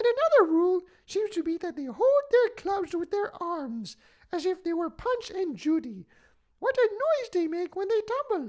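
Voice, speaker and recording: The pitch swings very widely. The pace is moderate. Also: man, extremely high pitch for a man. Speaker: voice actor. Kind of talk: audiobook reading. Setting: studio.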